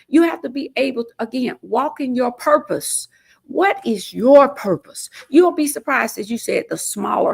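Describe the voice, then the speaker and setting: A woman with an Alabama accent speaks at a moderate pace. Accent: US South (Alabama). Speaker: state legislator and mayoral candidate. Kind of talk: interview. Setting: studio. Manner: not loud.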